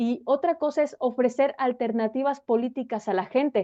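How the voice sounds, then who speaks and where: A woman speaks at a high pitch. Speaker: political scientist. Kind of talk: interview.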